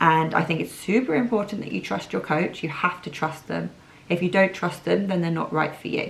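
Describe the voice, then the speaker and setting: A raspy, put-on character voice runs at a fairly quick pace. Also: woman, fairly low pitch for a woman. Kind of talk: didactic, lecturing. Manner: stern, teacherly.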